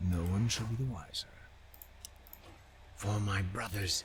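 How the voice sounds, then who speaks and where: Putting on a character voice, a man speaks at a fairly low pitch with a solemn tone and moderate pace over clear background noise. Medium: video game. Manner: terse, solemn.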